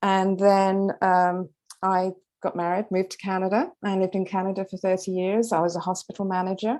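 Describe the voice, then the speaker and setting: Against a quiet background, a woman with a British accent speaks fairly quickly at a medium pitch, her dark, mellow tone held in a monotone, flat intonation. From London, England. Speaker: author, retired occupational therapist. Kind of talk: interview. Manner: hesitant fillers.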